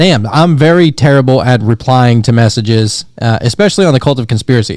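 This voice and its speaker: This is an unremarkable speaking voice with an American accent. It moves at a fairly quick pace with ordinary pitch variation. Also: man. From Pennsylvania and Louisiana, US. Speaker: podcast host. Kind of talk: casual chat.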